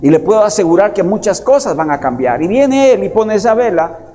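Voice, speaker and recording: Audible room echo surrounds a man's voice. He has a high pitch and lively intonation. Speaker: pastor. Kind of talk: sermon.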